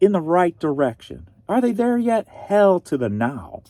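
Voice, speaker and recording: A man's dark, mellow, high voice with an American accent, at a fairly slow pace with very wide pitch swings, dry and close with no echo. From US Midwest, St. Louis, Missouri. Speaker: online reseller. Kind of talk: casual chat.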